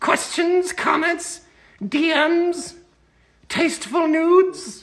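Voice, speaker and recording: A put-on character voice comes through at an extremely high pitch in a playful tone. The pace is fairly slow. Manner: playful, cheeky.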